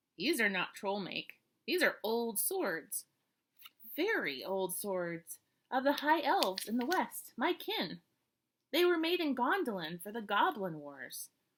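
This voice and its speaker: A woman uses a put-on character voice with a fairly high pitch and very wide pitch swings. She talks at a fairly slow pace. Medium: read story. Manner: measured, stately.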